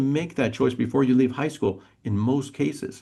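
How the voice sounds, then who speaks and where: This man's voice has a dark, mellow tone and vocal fry. His pitch is medium. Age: 50s. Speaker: police school resource officer. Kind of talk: interview.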